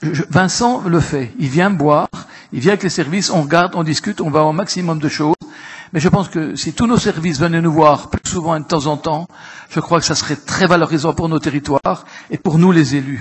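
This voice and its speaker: A man at a high pitch, moderate pace, ordinary pitch variation. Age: 70s. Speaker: local elected councillor. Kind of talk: council assembly speech. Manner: halting, repetitive.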